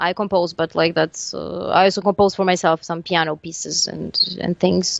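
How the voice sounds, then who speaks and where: Speaking at a moderate pace, a woman talks in a Serbian accent. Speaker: metal band lead singer. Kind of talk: casual interview. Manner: halting, many fillers and restarts.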